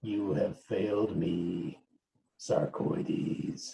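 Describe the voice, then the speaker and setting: With slight echo, a man growls in a put-on character voice, fairly low in pitch and at a very slow pace. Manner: snarling.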